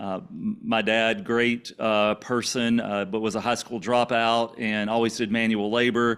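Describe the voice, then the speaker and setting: A man with an American accent speaks at a fairly slow pace with hardly any pauses. His medium pitch holds a monotone, flat intonation. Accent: Louisiana country and Cajun with Texas twang. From Louisiana, small farming town. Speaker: podcast guest sharing faith and business story. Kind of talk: interview testimony.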